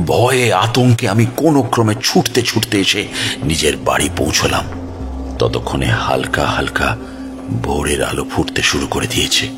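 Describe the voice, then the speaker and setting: A voice of very wide pitch swings, with music in the background. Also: man, fairly low pitch for a man. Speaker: audio drama narrator. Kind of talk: horror audio story narration.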